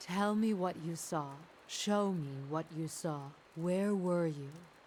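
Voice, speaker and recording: A put-on character voice at a middle pitch and a fairly slow pace, over clear background noise. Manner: desperate.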